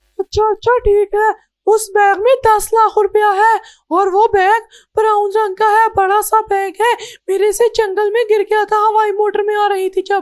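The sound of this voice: Cartoonish character voice, female-sounding and extremely high in pitch, monotone and flat at a moderate pace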